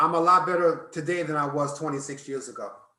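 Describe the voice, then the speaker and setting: In a room with audible echo, a man speaks in a fairly high, monotone, flat voice. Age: 60s. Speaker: activist and educator. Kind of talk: interview.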